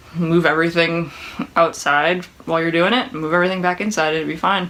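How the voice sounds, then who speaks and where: Mumbled speech at a very fast pace. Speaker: woodworking YouTuber. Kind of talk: casual Q&A monologue. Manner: mumbling.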